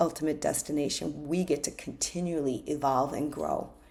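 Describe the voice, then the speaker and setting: With a normal speaking voice, this woman keeps to a moderate pace and ordinary pitch variation. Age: 60s. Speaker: life coach. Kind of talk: self-help talk.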